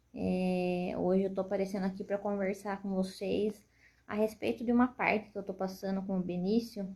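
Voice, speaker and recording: A soft-spoken woman talks with fairly even intonation. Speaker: mother and shop owner. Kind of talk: personal testimony.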